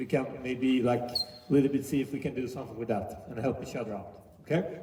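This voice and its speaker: Noticeable background noise sits behind a man speaking with a Swedish accent. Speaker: youth basketball coach. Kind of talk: coaching clinic demonstration. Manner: halting, many fillers and restarts.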